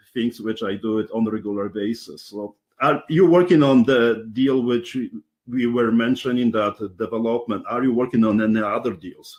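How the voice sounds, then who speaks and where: A man with a Polish accent at a moderate pace and a medium pitch. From Poland. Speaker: interviewer, real estate investor. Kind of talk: interview. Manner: halting.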